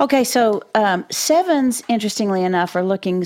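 Lively intonation at a moderate pace, in an American accent. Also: woman. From Texas. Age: 60s. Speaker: podcast co-host and Enneagram teacher. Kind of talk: casual interview chat.

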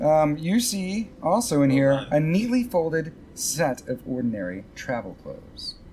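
Someone talks at a moderate pace with hardly any pauses over noticeable background noise. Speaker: game master of tabletop role-play podcast. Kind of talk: actual play game narration. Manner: loud when nervous.

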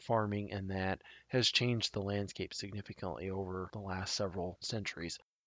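Speaking at a moderate pace, a man uses a fairly low pitch. He has a Midwestern American accent. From Nebraska, south central (Tri Cities area). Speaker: podcast host, hunter. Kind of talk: solo podcast monologue, informational.

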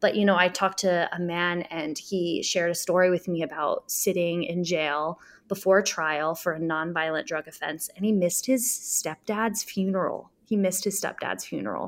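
A woman speaks with an American accent at a moderate pace, with hardly any pauses. She has an ordinary speaking voice, fairly low in pitch, with ordinary pitch variation. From US Midwest, Springfield, Illinois. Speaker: community organizer. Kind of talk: interview conversation.

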